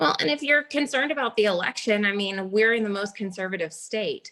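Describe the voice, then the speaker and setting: A woman at medium pitch, fairly quick pace and ordinary pitch variation. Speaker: real estate agent. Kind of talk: business training call. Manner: fast.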